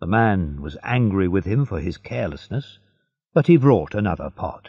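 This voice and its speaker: Against a quiet background, a man with an American accent uses a dark, mellow tone with vocal fry and very wide pitch swings. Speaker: audiobook narrator. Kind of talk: audiobook reading. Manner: slow, clear.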